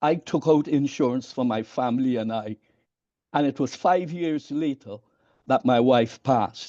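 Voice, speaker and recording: This man has a dark, mellow tone and medium pitch, with ordinary pitch variation at a moderate pace. The sound is dry and close, with no echo. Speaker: minister. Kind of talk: audience comment in online session. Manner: halting, repeats words.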